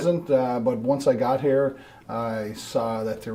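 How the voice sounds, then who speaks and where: Noticeable background noise sits behind this man. He speaks at medium pitch with an East Coast Canadian accent. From Newfoundland, Canada (St. John's). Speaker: road safety committee member. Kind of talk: studio interview. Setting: TV studio.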